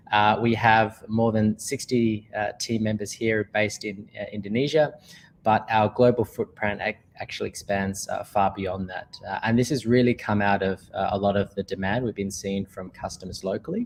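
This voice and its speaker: With an Australian accent, a man with a fairly low pitch talks at a moderate pace with fairly even intonation and hardly any pauses. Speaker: company manager, sponsor speaker. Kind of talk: presentation. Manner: many filler words.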